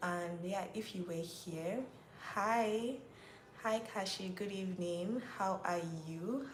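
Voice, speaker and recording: A woman with a Nigerian accent speaks at a medium pitch, her pitch varying in an ordinary way. Room echo is audible and there is noticeable background noise. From Nigeria, Rivers State. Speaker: YouTuber hosting a live Q&A. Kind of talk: casual livestream chat with viewers. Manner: chatty, repetitive.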